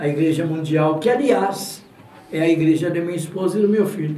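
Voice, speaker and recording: There is audible room echo and noticeable background noise as a man speaks at a high pitch with ordinary pitch variation. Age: 80s+. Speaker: radio announcer. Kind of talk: interview.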